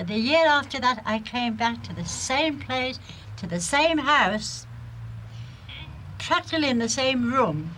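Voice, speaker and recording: Very wide pitch swings stand out against noticeable background noise. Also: woman. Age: old. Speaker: pensioner. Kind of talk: interview.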